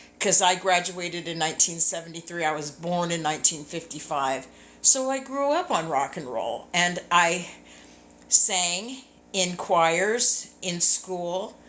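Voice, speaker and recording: Lively intonation at a fairly slow pace, in an American accent. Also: woman. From Southern California. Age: 60s. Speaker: singer and ministry leader. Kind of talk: casual live video chat. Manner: rambling, hesitant with fillers.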